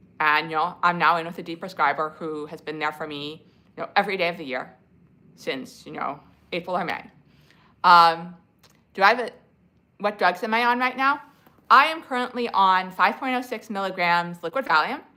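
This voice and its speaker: A woman with an American accent speaks in a bright, sharp tone at a fairly low pitch and a moderate pace. Her intonation is lively, with big swings in loudness and long, frequent pauses. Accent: slight speech impediment. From New Jersey. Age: 40s. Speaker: livestreamer sharing health recovery experience. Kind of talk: casual livestream chat answering comments. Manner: hesitant, many fillers and restarts.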